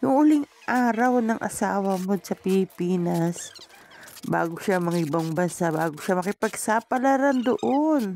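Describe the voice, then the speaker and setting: Over noticeable background noise, a woman speaks fairly slowly with lively intonation at a medium pitch. Her loudness stays very even, and the sound is dry and close with no echo. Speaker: vlogger. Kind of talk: vlog voice-over narration.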